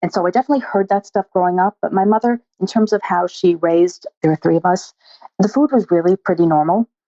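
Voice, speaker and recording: At a very fast pace, a woman speaks in a medium pitch with very even loudness. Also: ordinary pitch variation. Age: 60s. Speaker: eating disorder dietitian. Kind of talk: interview.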